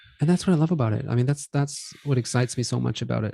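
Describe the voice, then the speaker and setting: In a very clean recording with a silent background, a man with a non-native accent speaks very fast in a dark, mellow, somewhat breathy tone, his pitch varying in an ordinary way. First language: not English. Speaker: podcast co-host. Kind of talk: casual chat.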